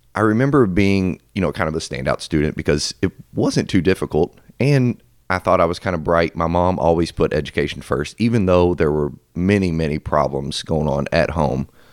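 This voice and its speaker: In a dry, close sound with no echo, a man with a very deep, low pitch and vocal fry speaks at a fairly quick pace with lively intonation. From Louisville, Kentucky. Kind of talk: casual interview chat.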